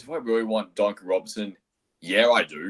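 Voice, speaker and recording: At a moderate pace, a man speaks with a strong Australian accent. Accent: broad Australian. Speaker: caller. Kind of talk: casual chat. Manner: hard to understand.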